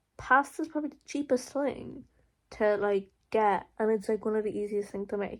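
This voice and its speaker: A woman speaks in an Irish accent at a moderate pace, on a very clean recording with a silent background. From Ireland, County Monaghan. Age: 20s. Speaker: college student vlogger. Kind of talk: casual Q&A vlog. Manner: hesitant, lots of fillers.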